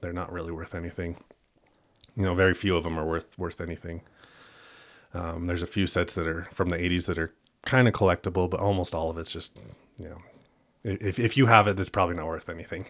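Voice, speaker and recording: A man speaks very fast in a very deep, low pitch with fairly even intonation, big swings in loudness, and long, frequent pauses. The recording is very clean with a silent background. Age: 30s. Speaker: sports card collector and trader. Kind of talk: casual interview.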